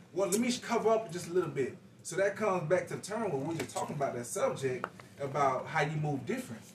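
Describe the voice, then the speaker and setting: Over noticeable background noise, a man with a high pitch talks at a very fast pace with lively intonation. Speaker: podcast guest. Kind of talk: casual chat.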